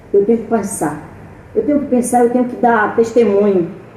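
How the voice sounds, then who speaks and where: A fairly high-pitched woman at a moderate pace, with audible room echo and noticeable background noise. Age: 60s. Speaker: missionary preacher. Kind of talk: sermon. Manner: animated.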